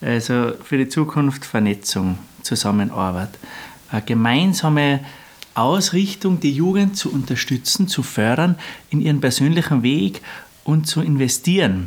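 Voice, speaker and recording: Speaking at a fairly slow pace, a man with a fairly high pitch shows very wide pitch swings while keeping very even loudness. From Austria, Lungau (Salzburg). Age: 30s. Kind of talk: interview.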